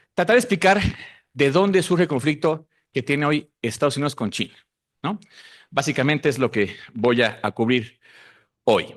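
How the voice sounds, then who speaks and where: A man with a Mexican accent talks at a moderate pace in a fairly high pitch with lively intonation. The background is quiet. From Mexico. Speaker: researcher. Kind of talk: conference talk.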